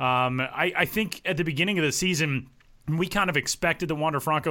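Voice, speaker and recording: On a very clean recording with a silent background, a man with a bright, sharp tone talks at a very fast pace with ordinary pitch variation. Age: 20s. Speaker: podcast host. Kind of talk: casual chat.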